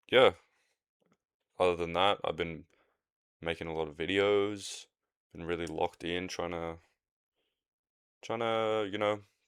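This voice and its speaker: With an Australian accent, a man talks at a fairly slow pace in a relaxed tone, his very deep, low pitch carrying fairly even intonation. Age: 20s. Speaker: podcaster. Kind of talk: casual solo podcast monologue. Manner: relaxed, rambling with fillers.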